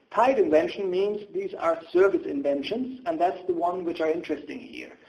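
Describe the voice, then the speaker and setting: A man with a German accent speaks in a high voice at a moderate pace. His pitch varies in an ordinary way. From Germany. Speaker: patent attorney. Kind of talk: webinar presentation. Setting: online webinar.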